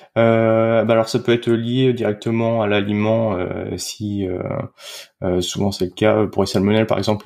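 A man's fairly low-pitched voice, monotone and flat in intonation, at a fairly slow pace. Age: 30s. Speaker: dietitian. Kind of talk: casual interview. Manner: hesitant, many fillers.

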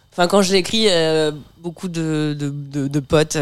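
Fairly even intonation from a woman with a very deep, low pitch. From Normandy, France (Bernay). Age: 30s. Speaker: stand-up comedian. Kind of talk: casual chat.

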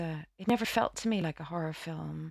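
A woman with a Dublin accent speaks at a moderate pace. The recording is very clean, with a silent background. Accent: Dublin Irish. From Ireland, Dublin. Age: 40s. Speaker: actress. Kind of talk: interview. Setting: studio. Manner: halting.

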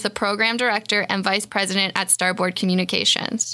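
Her tone bright and sharp, a woman talks at a fairly quick pace with ordinary pitch variation. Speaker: podcast co-host. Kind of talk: casual chat.

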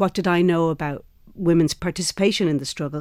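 This woman's voice sits fairly low. Nothing else is heard, as the recording is very clean and the background silent. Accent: Irish. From Ireland. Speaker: actor and theatre maker. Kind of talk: interview.

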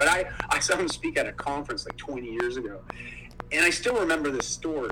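Over noticeable background noise, a man with a Canadian accent talks at a fairly quick pace. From Ontario, Canada. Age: 40s. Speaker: motivational speaker. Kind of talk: casual interview.

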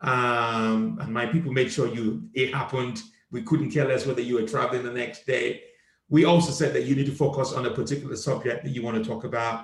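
At a fairly quick pace, the speaker talks in a somewhat breathy way. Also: man, medium pitch for a man, ordinary pitch variation. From Nigeria. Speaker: comedian and podcast host. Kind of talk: casual chat. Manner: animated.

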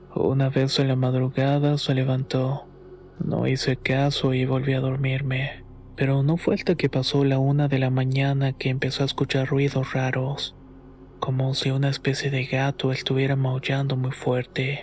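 Speaking at a moderate pace, a man holds a medium pitch with monotone, flat intonation and very even loudness. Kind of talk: first-person horror story narration, told as a personal memoir.

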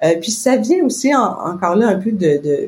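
The voice belongs to a woman and is somewhat breathy. She talks at a fairly slow pace. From Quebec. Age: 50s. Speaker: business owner. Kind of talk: casual interview.

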